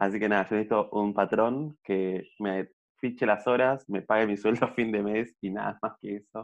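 A man's ordinary speaking voice, fairly low in pitch. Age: young. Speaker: podcast co-host. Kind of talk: casual chat. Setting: at home during quarantine. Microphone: audio problems.

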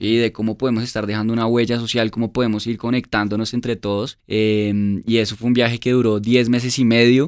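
This is a man with a medium pitch. His intonation is monotone and flat. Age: 20s. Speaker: motorcycle event organizer. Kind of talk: casual interview.

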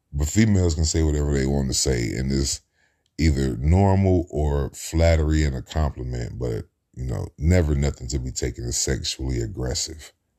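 A man speaks with an American accent. His voice is very deep and low, with a dark, mellow tone. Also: ordinary pitch variation, moderate pace. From US Midwest, Cincinnati, Ohio. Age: 30s. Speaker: podcaster. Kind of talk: casual monologue.

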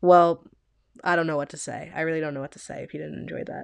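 A woman's voice over a quiet background. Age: 20s. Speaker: podcast host. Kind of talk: casual monologue. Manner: animated.

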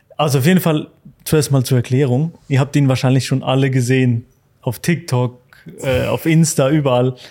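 A man's dark, mellow voice at medium pitch, moderate in pace, with fairly even intonation and very even loudness. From Switzerland. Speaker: podcast host. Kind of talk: casual chat. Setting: barber shop.

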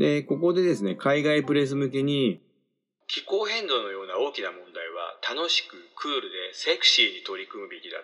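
The speaker is a man with a moderate tempo. His volume rises and falls dramatically. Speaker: podcast host. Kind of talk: casual solo talk.

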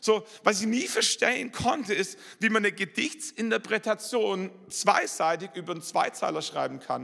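A man with a Swabian accent, animated in tone, at a moderate pace. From Swabia, southern Germany. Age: 40s. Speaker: pastor. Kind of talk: sermon. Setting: church.

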